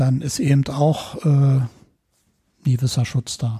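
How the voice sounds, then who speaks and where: A man's somewhat breathy voice of medium pitch, dark and mellow in tone, with fairly even intonation. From West Berlin (Neukölln). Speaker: electronics technician and rescue dog handler. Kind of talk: casual interview.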